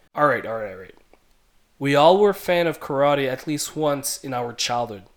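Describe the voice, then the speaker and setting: Here a man with an ordinary speaking voice talks at a fairly high pitch, using ordinary pitch variation. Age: 20s. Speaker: podcast host. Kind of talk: scripted monologue.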